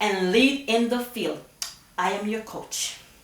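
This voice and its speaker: The delivery is animated and fairly slow, with audible room echo and noticeable background noise. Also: woman. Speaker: nursing coach. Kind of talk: tutorial.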